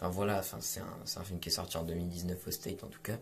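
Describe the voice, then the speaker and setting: Amid audible room echo, a man with a very deep, low pitch speaks somewhat breathily at a fairly quick pace with fairly even intonation. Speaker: film critic YouTuber. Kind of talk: film review monologue. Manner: halting, many fillers.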